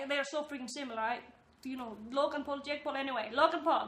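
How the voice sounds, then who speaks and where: In a bright, sharp tone, a woman talks with ordinary pitch variation. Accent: non-native. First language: not English. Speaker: YouTuber commentator. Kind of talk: casual vlog commentary. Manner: animated, filler-heavy.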